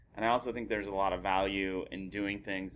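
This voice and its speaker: At a fairly quick pace, a man talks in a very deep, low voice with vocal fry and ordinary pitch variation. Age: 30s. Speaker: stand-up comedian. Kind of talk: casual chat.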